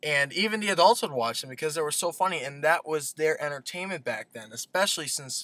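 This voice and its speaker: A man speaks at a moderate pace in a bright, sharp tone, the sound dry with no echo. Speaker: vlogger. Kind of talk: casual vlog chat. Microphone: webcam.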